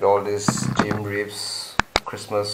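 A man talks with a fairly low pitch. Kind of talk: casual vlog chat. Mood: nostalgic, relaxed. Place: home room. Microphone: phone near.

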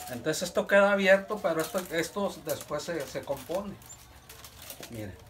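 Amid light background noise, a man with a high pitch and ordinary pitch variation speaks at a moderate pace, with long, frequent pauses and big swings in loudness. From northern Mexico, Sabinas; northern Mexico. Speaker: reed basket weaver. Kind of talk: casual interview, demonstrating craft. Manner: halting. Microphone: phone near.

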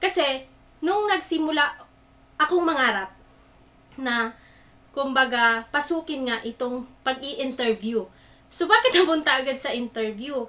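A woman with a high pitch speaks in a raised, projected voice at a fairly slow pace, her intonation lively and broken by long, frequent pauses. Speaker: online talk host. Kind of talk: motivational livestream talk. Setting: live stream.

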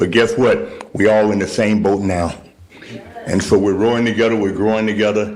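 A man's fairly low-pitched voice at a fairly quick pace, with audible room echo and noticeable background noise. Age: 70s. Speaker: church leader addressing council. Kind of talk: public comment at council meeting. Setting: city council meeting. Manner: animated.

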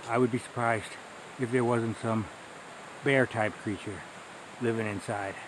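Noticeable background noise under a man's dry, echo-free voice. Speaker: hiker vlogger. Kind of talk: casual vlog chat. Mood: relaxed, amused. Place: forest. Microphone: phone near.

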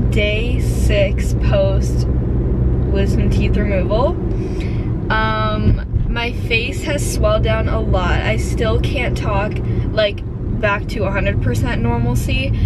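A woman at a very slow pace over loud background noise. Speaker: vlogger. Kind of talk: casual vlog chat. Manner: slightly impeded speech after tooth surgery. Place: car. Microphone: phone near.

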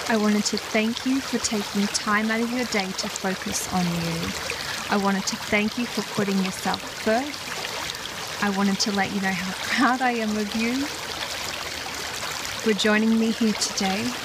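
At a fairly slow pace with hardly any pauses, a woman with a fairly high pitch speaks in a soothing, warm tone and fairly even intonation over noticeable background noise. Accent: Australian. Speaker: wellness vlogger and meditation guide. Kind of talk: guided meditation with self-love affirmations. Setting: outdoors at a nature spot. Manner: slow, soothing paced breath cues; warm, affectionate and reassuring.

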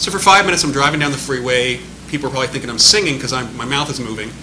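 A man's very fast speech over noticeable background noise. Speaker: speaker. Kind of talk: panel answer, anecdote. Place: meeting room. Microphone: podium.

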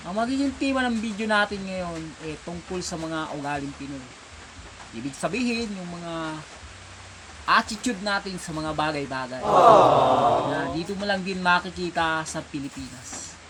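The speech moves at a fairly slow pace with lively intonation over noticeable background noise. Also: man, high pitch for a man. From Philippines. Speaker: vlogger. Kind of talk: casual comedic monologue. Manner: animated.

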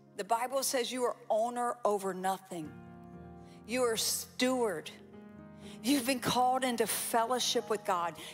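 A woman speaks in an energetic tone at a fairly slow pace, with ordinary pitch variation. Faint music plays in the background. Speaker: pastor, preacher. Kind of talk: sermon, preaching to a congregation. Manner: energetic, emphatic, interactive with the audience. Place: church. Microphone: handheld.

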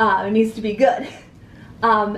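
A woman speaks with an American accent at a fairly high pitch and a moderate pace. Light background noise and audible room echo are present. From US Northeast, New Hampshire. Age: young. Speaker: interview guest. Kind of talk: interview. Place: home room.

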